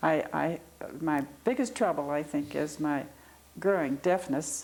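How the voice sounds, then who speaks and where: With a Midwestern American accent, a woman talks at a fairly slow pace in a very deep, low pitch with ordinary pitch variation. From Ohio, Cleveland. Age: 80s+. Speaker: oral history interviewee. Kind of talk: interview. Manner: halting.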